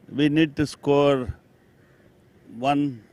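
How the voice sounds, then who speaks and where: A man's voice with fairly high pitch. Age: 60s. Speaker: lawyer cricketer, team elder. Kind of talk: post-match interview.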